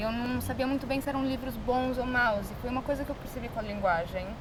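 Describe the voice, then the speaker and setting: Noticeable background noise and audible room echo accompany a woman speaking in a high pitch with ordinary pitch variation. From Brazil. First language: English (speaking Portuguese). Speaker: artist. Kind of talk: interview.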